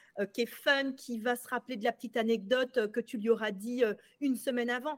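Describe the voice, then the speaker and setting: The voice has ordinary pitch variation, with a dry, close sound and no echo. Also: woman. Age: 40s. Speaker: sales coach. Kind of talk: casual chat.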